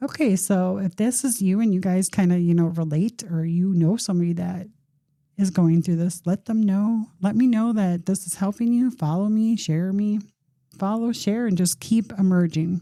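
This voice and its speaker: Somewhat breathy and dark, mellow in tone, a woman speaks with ordinary pitch variation. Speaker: podcast host. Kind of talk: casual monologue. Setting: podcast studio.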